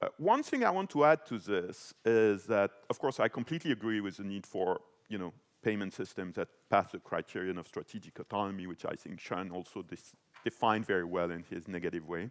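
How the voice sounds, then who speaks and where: In a dry, close sound with no echo, a man with a French accent talks at a fairly quick pace and fairly low pitch, with ordinary pitch variation and big swings in loudness. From France. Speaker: panelist, financial policy expert. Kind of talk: panel discussion. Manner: hesitant, many fillers.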